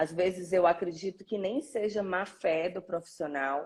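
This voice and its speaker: A woman's medium-pitched voice with a northeastern Brazilian accent and ordinary pitch variation. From Brazil, Northeast (Fortaleza, Ceará). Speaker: orthodontist. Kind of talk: live interview.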